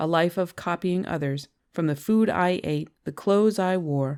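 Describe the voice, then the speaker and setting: The recording is very clean and the background silent. A woman talks with ordinary pitch variation. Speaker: audiobook narrator. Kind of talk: memoir audiobook reading.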